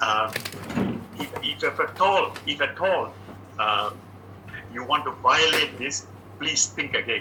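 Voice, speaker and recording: A man talks very slowly, leaving long, frequent pauses, while noticeable background noise plays behind him. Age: 80s+. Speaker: podcast host. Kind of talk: casual chat with advice. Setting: at home. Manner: halting.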